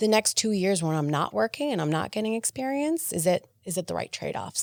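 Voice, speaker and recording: The pitch swings very widely, in a Spanish accent. The sound is dry and close, with no echo. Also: woman. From Argentina. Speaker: HR executive. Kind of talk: podcast interview. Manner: many fillers and restarts.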